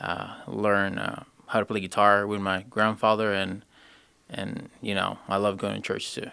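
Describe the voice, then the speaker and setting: Speaking in a monotone, flat intonation, a man with a Spanish accent has a fairly low pitch. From Honduras. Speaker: HVAC apprentice. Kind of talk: casual interview. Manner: halting.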